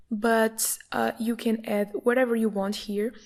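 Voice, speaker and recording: A woman with a Portuguese accent speaks in a dark, mellow tone. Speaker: online course instructor. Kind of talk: screen-recorded tutorial.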